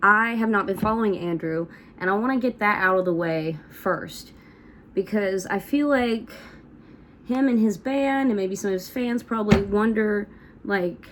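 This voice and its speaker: A woman with an Appalachian accent talks at a fairly slow pace, her medium-pitched voice moving with lively intonation. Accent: Southern US (Appalachian). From US South, north Georgia / Tennessee / North Carolina tri-state area. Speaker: country musician and vlogger. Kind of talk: casual vlog monologue. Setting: at home doing hair and makeup on camera. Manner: casual, filler-heavy.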